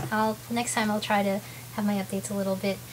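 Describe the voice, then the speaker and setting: A woman is speaking. Background noise is noticeable throughout. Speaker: video blogger with ulcerative colitis. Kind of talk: casual vlog talk to camera. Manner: fast.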